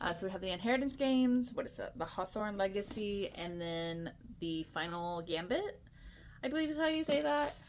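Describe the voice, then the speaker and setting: An animated woman speaks at medium pitch with very wide pitch swings. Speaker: book content creator. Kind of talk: casual chat. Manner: fast.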